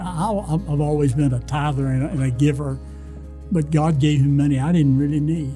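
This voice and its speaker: Music plays in the background. A man speaks with a Texan accent. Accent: Texan Southern US. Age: 80s+. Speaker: former charity board chairman and donor. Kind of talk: interview answer. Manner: halting, repeats words.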